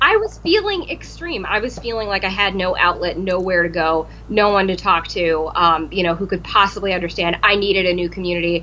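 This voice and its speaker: Noticeable background noise sits behind a woman whose speech runs fairly quick. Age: 30s. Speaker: cosplayer. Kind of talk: casual chat.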